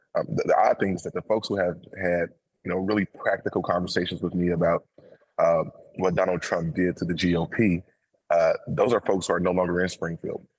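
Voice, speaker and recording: Recorded dry and close with no echo, a man with an American accent talks at a fairly quick pace. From Chicago. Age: 30s. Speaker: state legislator. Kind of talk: interview. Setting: remote from the state capital.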